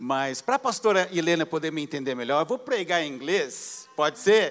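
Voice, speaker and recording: Lively intonation marks a man's delivery, which moves at a fairly quick pace. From Brazil, Paraná (Apucarana/Londrina). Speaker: pastor, visiting preacher. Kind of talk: sermon. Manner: halting Portuguese.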